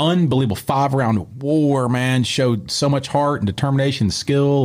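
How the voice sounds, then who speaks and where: A man with an unremarkable speaking voice, medium in pitch, at a moderate pace. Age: 40s. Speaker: martial arts gym owner and former MMA fighter. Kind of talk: casual interview. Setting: studio.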